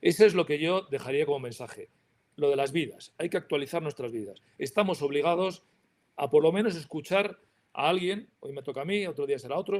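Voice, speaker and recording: Speaking at a fairly quick pace, a man uses an ordinary speaking voice with ordinary pitch variation. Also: fairly high pitch for a man. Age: 60s. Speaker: industry association president. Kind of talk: panel talk.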